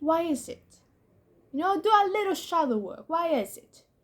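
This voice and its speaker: Moving at a fairly slow pace, a woman with a non-native accent lets her pitch swing very widely. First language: not English. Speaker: YouTuber. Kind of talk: casual monologue. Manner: halting.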